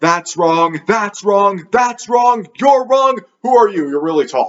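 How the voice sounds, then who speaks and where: A man puts on a character voice, pitched high. He speaks at a fairly slow pace. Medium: solo performance. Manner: haughty, scornful.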